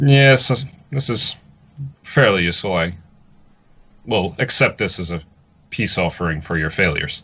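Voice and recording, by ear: A put-on character voice, bright and sharp with a slightly husky edge, moves at a fairly slow pace with ordinary pitch variation and long, frequent pauses. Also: man, low pitch for a man.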